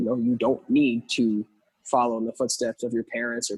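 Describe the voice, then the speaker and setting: In a dry, close sound with no echo, a man talks at a moderate pace and medium pitch in an ordinary speaking voice. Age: 20s. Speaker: drummer. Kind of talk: casual chat.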